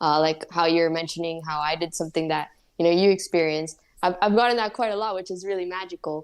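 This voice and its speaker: A woman with a Spanish accent speaks very fast at a fairly low pitch, her intonation fairly even. The recording is very clean, with a silent background. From Spanish-speaking country and the US. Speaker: painter and psychedelics advocate. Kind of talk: interview conversation. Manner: casual, many fillers.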